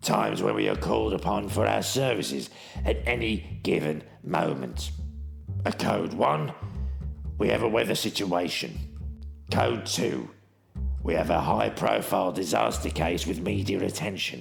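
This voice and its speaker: Clear music plays behind a man with a very deep, low voice, very wide pitch swings and very even loudness. He keeps a moderate pace, broken by long, frequent pauses. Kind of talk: mock action-thriller narration. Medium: audio drama. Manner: deadpan, self-important.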